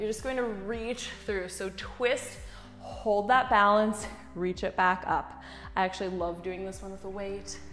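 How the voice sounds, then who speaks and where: Faint music sits in the background. A woman talks at a fairly slow pace with fairly even intonation. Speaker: fitness instructor. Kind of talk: workout instruction.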